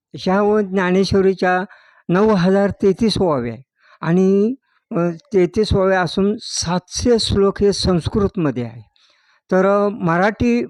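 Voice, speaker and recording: Against a quiet background, a man with a high voice is heard in a dry, close sound with no echo. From Maval taluka, Pune district, Maharashtra. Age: 70s. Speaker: religious elder and manuscript copyist. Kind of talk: interview.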